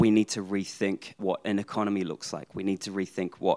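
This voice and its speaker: At a fairly quick pace, a man with a New Zealand accent speaks in a fairly low pitch. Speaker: accounting professor. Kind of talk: live panel discussion. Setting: stage with audience.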